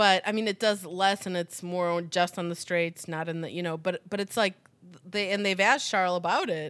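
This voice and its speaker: A woman speaks at a moderate pace and medium pitch in an ordinary speaking voice, on a very clean recording with a silent background. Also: fairly even intonation. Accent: American. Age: 40s. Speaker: podcast host. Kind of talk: casual chat.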